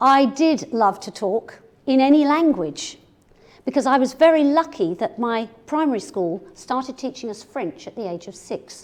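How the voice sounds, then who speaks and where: A woman with an English accent talks at a moderate pace, her high-pitched voice carrying a lively intonation. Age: 60s. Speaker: business communication speaker. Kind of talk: keynote talk to audience.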